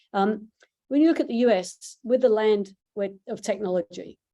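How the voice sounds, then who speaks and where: Her tone is dark and mellow, and the pace is moderate. This woman's pitch varies in an ordinary way. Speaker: startup CEO and founder. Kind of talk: pitch presentation.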